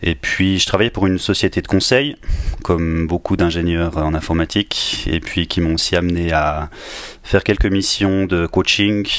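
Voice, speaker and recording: Speaking with a slight Swiss French accent, a man uses a very deep, low pitch, ordinary pitch variation, very even loudness, and a moderate pace over noticeable background noise. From northern Switzerland, near Basel, rural. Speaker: agile coach and engineering manager. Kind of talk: podcast interview.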